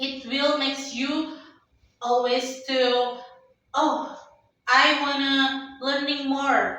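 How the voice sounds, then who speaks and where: A woman with an Indonesian accent speaks in a raised, projected, high voice at a very slow pace, with audible room echo. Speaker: company employee, podcast guest. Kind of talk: casual interview. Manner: halting, many fillers.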